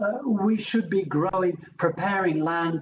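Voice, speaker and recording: Speaking fairly slowly, a man is heard. He has a British accent. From England. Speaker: professor. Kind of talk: lecture.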